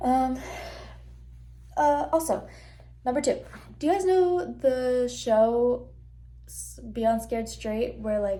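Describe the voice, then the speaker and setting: Speaking at a very slow pace with long, frequent pauses, a woman's voice shows big swings in loudness amid audible room echo. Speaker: student vlogger. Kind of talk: casual vlog talk. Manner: animated.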